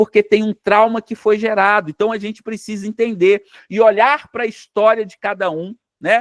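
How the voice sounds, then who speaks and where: A man talks at a high pitch and a moderate pace, with fairly even intonation. His loudness swings widely, and the sound is dry and close with no echo. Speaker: psychoanalyst teacher. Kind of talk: lecture. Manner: halting, repeats words.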